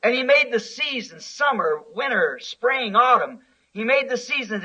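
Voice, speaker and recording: With a raised, projected voice, a man speaks at a fairly slow pace in an extremely high pitch. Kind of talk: sermon preached to a congregation.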